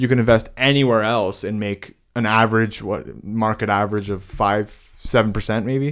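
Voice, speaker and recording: A normal speaking voice from a man, pitched fairly low, fairly level in intonation and moderate in tempo, captured on a very clean recording against a silent background. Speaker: podcast co-host. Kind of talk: casual chat.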